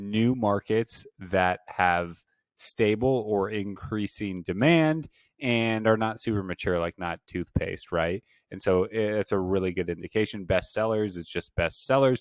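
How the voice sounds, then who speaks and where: In a very clean, dry, close recording with a silent background and no echo, a man with an unremarkable speaking voice talks at fairly low pitch and a fairly slow pace, with ordinary pitch variation. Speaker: online business instructor. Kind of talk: tutorial.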